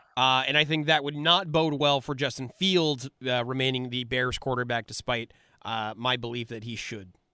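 Here a man talks in an ordinary speaking voice at a medium pitch, moving at a moderate pace with ordinary pitch variation. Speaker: sports analyst. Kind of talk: casual sports talk conversation.

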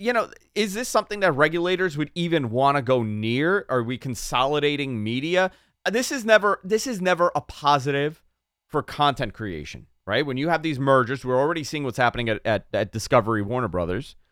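On a very clean recording with a silent background, a man with a fairly high pitch talks at a fairly quick pace in a New York accent. His tone is animated, with very wide pitch swings. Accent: New York accent, comes out despite effort. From New York City (Queens). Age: 30s. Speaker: radio host. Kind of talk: casual chat.

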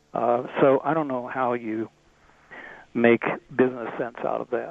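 In an unremarkable speaking voice, a man talks at a medium pitch with fairly even intonation. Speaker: golf travel author. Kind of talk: casual interview.

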